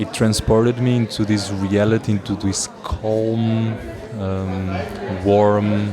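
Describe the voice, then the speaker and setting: Speech comes at a very slow pace in a monotone, flat delivery, with audible room echo and crowd noise in the background. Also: man, fairly low pitch for a man. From Portugal. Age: 20s. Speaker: circus student, hand balancer. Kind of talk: interview. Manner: halting.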